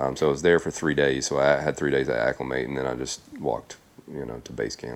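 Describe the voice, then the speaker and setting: A very deep, low male voice with vocal fry. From Tennessee. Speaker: thru-hiker. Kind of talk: casual interview.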